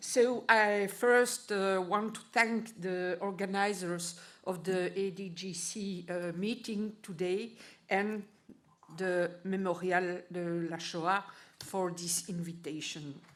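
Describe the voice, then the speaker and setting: A woman at a very slow pace, medium in pitch with fairly even intonation, amid audible room echo. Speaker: historian. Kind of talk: conference presentation. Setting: conference hall.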